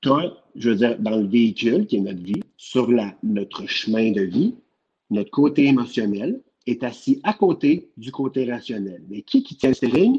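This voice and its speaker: Speaking at a fairly slow pace in a Quebec accent, a man has a dark, mellow tone, a medium pitch and lively intonation. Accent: Québécois French. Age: 30s. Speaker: nurse. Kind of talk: casual chat.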